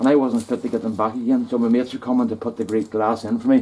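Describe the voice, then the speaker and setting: Over noticeable background noise, a man talks very fast with a Northern Irish accent. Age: 60s. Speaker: hobby gardener and woodturner vlogger. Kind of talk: casual vlog chat. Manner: halting.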